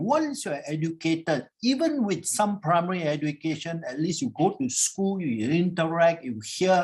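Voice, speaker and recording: A man with a high pitch speaks at a moderate pace, with hardly any pauses. His pitch swings very widely. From Singapore. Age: 70s. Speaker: professor. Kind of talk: panel discussion. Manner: conversational, informal.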